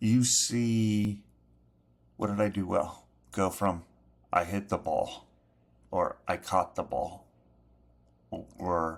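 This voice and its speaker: The pace is very slow. The intonation stays fairly even. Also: man, fairly low pitch for a man. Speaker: sports podcast host. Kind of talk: motivational talk to young athletes. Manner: slow and repetitive; casual, direct.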